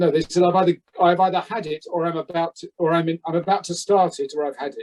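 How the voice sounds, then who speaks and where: A man with a British accent and a high pitch speaks at a very fast pace in a monotone, flat intonation, with a dry, close sound and no echo. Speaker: actor. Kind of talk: casual chat. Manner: halting.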